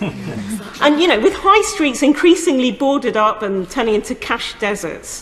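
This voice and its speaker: Against noticeable background noise, a woman with a high pitch makes very wide pitch swings at a moderate pace. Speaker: member of parliament. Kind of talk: parliamentary speech / debate.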